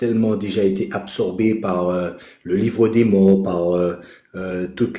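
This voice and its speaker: Pitched fairly low, a man speaks slowly in a dark, mellow tone. His intonation is monotone and flat, with audible room echo around him. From Caribbean. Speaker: participant in online spiritual live. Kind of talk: casual chat. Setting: live video call with headset. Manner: hesitant, many fillers.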